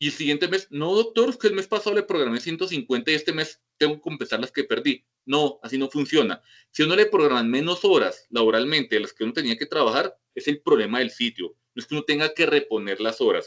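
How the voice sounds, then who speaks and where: Delivered at a very fast pace with very wide pitch swings, the speech has a dry, close sound with no echo. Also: man, fairly high pitch for a man. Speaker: medical professor. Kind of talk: lecture with Q&A. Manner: informal, direct.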